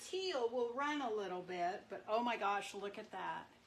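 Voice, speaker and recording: Her voice fairly high, a woman speaks with lively intonation amid noticeable background noise and audible room echo. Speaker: marbling artist. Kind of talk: live craft demonstration. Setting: livestream at marbling tank. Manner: loud.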